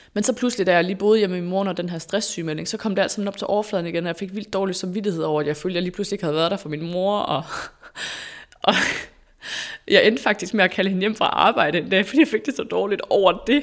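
A woman at a medium pitch speaks at a very fast pace. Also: ordinary pitch variation. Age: 30s. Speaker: former radio host, influencer. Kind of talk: interview, personal story.

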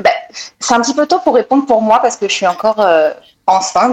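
Lively intonation at a fairly quick pace. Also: woman. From France. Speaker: human resources professional. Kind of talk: panel discussion. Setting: online audio room.

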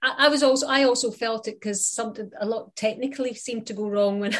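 A woman with a Scottish accent speaks quickly at a high pitch, her intonation fairly even. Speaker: sports broadcaster. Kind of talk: casual chat.

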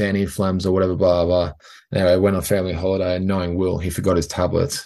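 Against a quiet background, a man speaks with an Australian accent. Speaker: professional rugby player. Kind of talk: interview. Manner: hesitant, many fillers.

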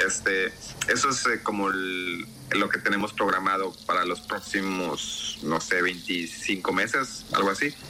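Over noticeable background noise, a man speaks very slowly in a very deep, low pitch, his loudness very even and his intonation fairly even. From Mexico. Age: 30s. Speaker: video game developer. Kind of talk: interview. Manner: halting.

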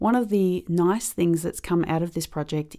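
A woman's fairly low voice with a dark, mellow tone and an Australian accent, at a fairly quick pace. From Australia, Melbourne. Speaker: ukulele player. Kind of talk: interview testimony.

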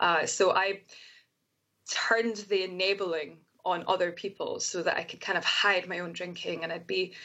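At a moderate pace, a woman talks in a Scottish accent. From Scotland. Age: 20s. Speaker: soprano singer and recovering alcoholic. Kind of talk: interview, personal testimony. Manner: animated.

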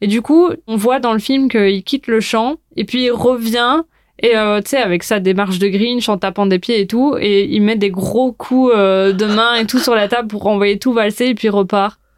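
In a very clean recording with a silent background, a woman with an ordinary speaking voice talks at a fairly slow pace, her pitch fairly high with ordinary variation. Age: 20s. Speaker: food and film influencer, journalism student. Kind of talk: casual chat.

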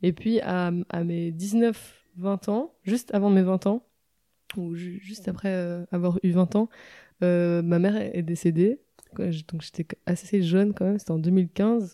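Over a silent background in a very clean recording, the speaker's dark, mellow voice moves at a very slow pace with fairly even intonation. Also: woman, medium pitch for a woman, dry, close sound with no echo. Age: 20s. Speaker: singer-songwriter. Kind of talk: casual interview chat. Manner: halting, many repetitions.

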